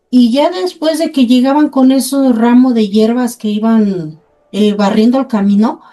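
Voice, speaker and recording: A woman speaks at a high pitch with ordinary pitch variation and a fairly slow pace. Music plays in the background. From Mexico, Puebla. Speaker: host's mother, storyteller. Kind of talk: casual chat, anecdotes.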